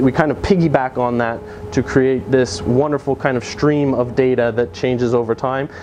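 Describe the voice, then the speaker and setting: A man at medium pitch with ordinary pitch variation, moderate pace and noticeable background noise. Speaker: software developer giving a meetup talk. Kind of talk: technical conference talk. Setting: meetup with live audience. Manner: halting, many fillers.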